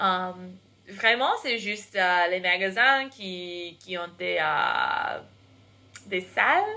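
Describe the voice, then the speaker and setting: A woman with an American accent, very slow, with a bright, sharp tone. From United States. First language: English (speaking French). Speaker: English teacher and vlogger. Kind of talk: casual vlog. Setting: bedroom. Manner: halting, many hesitations.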